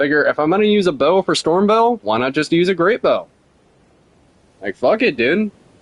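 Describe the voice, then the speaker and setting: A man at a moderate pace, very wide pitch swings, dry, close sound with no echo. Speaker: gaming streamer. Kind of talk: casual live-stream commentary.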